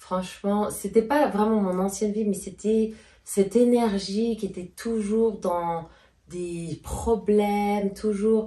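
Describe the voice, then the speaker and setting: Somewhat breathy and dark, mellow in tone, a woman speaks at a very slow pace with fairly even intonation. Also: medium pitch for a woman. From Switzerland, Geneva. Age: 30s. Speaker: YouTuber. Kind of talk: casual Q&A chat.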